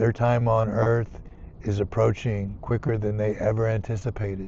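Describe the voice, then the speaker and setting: A man speaks at a fairly slow pace in a flat, monotone delivery. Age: 50s. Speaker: nurse. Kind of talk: casual monologue. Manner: halting.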